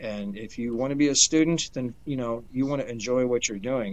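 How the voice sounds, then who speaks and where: A man with an American accent, fairly quick in pace, with fairly even intonation. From US Midwest, Detroit. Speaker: homesteader. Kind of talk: interview. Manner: hesitant, many fillers.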